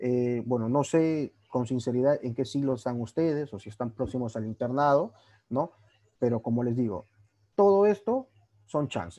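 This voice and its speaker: Against a quiet background, a man speaks fairly slowly with a dark, mellow tone. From Peru, Trujillo; Peru. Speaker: orthopedic surgery resident doctor. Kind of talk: lecture. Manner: casual, conversational. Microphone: video call.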